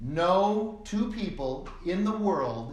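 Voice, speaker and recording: Amid noticeable background noise and audible room echo, a man with a General American accent speaks in a high pitch with lively intonation. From US Southwest, Phoenix, Arizona. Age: 60s. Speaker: college instructor. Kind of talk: lecture. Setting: online recorded class.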